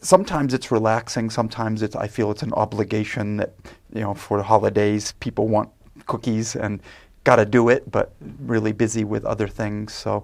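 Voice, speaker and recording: Using vocal fry, a man with an American accent talks at a moderate pace, his fairly low pitch held to a fairly even intonation. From US Northeast, Maine. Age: 50s. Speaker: English teacher. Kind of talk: casual interview. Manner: hesitant, many fillers.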